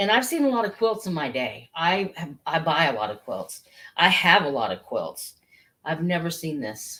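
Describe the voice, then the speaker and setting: With an American accent, a woman speaks at a moderate pace in a fairly low pitch that swings very widely. Her tone is bright and sharp, with vocal fry. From Missouri. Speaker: online antiques seller. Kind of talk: live sales stream. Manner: animated, hesitant fillers; loud.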